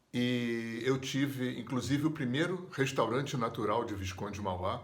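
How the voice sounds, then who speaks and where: A somewhat breathy man speaks with ordinary pitch variation amid audible room echo. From Brazil, Rio de Janeiro. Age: 60s. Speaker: therapist and yoga teacher. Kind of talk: personal storytelling interview.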